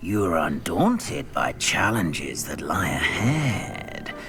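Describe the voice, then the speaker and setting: A man in a put-on character voice at a fairly slow pace, over loud music in the background. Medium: game stream. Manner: slow, musing, thoughtful.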